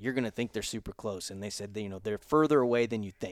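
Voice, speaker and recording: A man at medium pitch with an ordinary speaking voice, dry and close with no echo, on a very clean recording with a silent background. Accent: American. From Florida panhandle (Pensacola). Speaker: hunting podcast host. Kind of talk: casual chat. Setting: hunting lodge.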